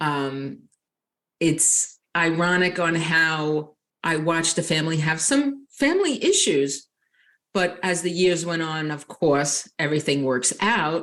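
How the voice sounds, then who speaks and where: Here a woman speaks with a strong Long Island accent. Her pace is fairly slow. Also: fairly low pitch for a woman, ordinary pitch variation. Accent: Long Island New York accent, strong. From Long Island, New York. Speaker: nurse and life coach. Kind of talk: interview.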